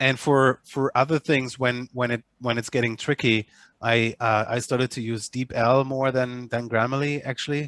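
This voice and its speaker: Speaking with a German accent in monotone, flat intonation, a man talks at a moderate pace and medium pitch, the sound dry and close with no echo. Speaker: agency manager. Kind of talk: online meeting discussion. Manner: halting, many repetitions and fillers.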